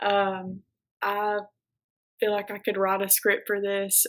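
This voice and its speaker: A woman with a Southern US accent, medium-pitched, at a fairly slow pace, on a very clean recording with a silent background. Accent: Southern US (South Georgia). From US South, South Georgia. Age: 20s. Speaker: chiropractic student vlogger. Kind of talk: casual vlog talk. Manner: casual, with many filler ums.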